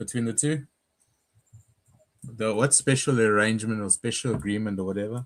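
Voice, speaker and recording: This man talks at a fairly quick pace in a medium pitch, with ordinary pitch variation and a South African accent. His speech is broken by long, frequent pauses. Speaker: stream participant. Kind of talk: casual chat.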